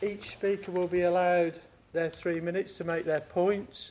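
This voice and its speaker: A man is speaking. His voice sits high for a man. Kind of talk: formal meeting procedure explanation. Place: hall. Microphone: podium.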